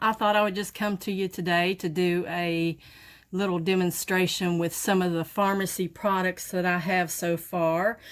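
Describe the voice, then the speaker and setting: In a very clean recording with a silent background, a woman speaks at a moderate pace and medium pitch with monotone, flat intonation. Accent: strong Southern US. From Southern United States. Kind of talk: makeup tutorial talk to camera. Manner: casual, chatty.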